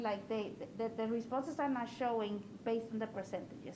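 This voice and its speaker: A woman's fairly high voice with fairly even intonation, heard with audible room echo. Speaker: school board member. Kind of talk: board meeting discussion. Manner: fast.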